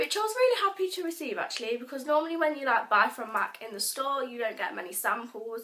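At a fairly quick pace, a woman speaks in a raised, projected voice with a high pitch and a bright, sharp tone. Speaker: vlogger. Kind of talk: casual vlog. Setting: bedroom, home video. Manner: casual, rambling.

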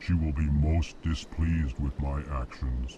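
Putting on a character voice with a very deep, low pitch, a man speaks at a very slow pace over clear background noise. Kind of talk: states the emotion first, then the sentence. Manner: slow, ponderous, monotone. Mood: anxious, hurried.

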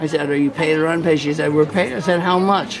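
A man speaks fairly quickly at a fairly high pitch with fairly even intonation, against noticeable background noise. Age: 70s. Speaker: street videographer interviewing people. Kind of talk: casual chat. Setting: outdoors. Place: hall.

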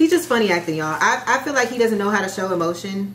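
Over noticeable background noise, a woman with an American accent talks at a fairly quick pace with lively intonation. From US Midwest, Chicago area. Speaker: YouTuber. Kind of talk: casual chat. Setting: at home. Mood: relaxed, gossipy. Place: home room.

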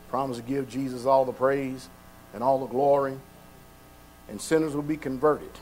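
With fairly even intonation, a man speaks at a moderate pace over light background noise. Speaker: pastor. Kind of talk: prayer then sermon. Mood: fervent, reverent. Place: church. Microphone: podium.

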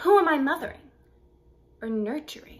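Her pitch swinging very wide, a woman speaks at a fairly quick pace. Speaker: actor. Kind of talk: dramatic monologue performance, contemporary then classical. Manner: wry, conversational teenage-girl voice with sarcastic asides; rising to defiant, impassioned outbursts in the classical piece. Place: home room. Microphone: phone near.

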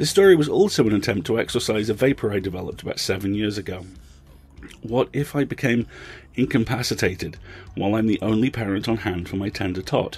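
Very fast, somewhat breathy speech from a man with a fairly low pitch and ordinary pitch variation. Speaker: podcast host. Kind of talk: scripted intro and outro, casual commentary.

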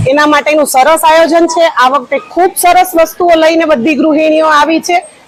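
Fairly even intonation from a woman, with noticeable background noise. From Veraval, Gujarat. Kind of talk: interview statement to local news.

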